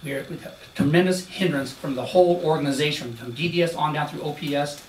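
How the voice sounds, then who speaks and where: A man with a fairly high pitch and fairly even intonation speaks amid noticeable background noise and audible room echo. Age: 60s. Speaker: retired police officer testifying. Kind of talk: testimony. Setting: senate hearing room. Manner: emotional, halting.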